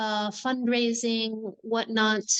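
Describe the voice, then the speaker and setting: A woman with an American accent talks at a fairly high pitch. The sound is dry and close with no echo, and the background is quiet. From Morocco, American parents. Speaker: non-profit founder. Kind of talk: interview.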